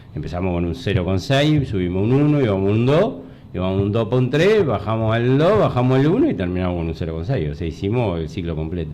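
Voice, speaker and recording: With a Uruguayan accent and audible room echo, a man talks at a very fast pace, his fairly low voice making very wide pitch swings. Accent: Rioplatense Spanish (Uruguayan). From Uruguay, Montevideo. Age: 60s. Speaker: retired army colonel and former mayoral candidate. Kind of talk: interview. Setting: radio studio. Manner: halting, many fillers.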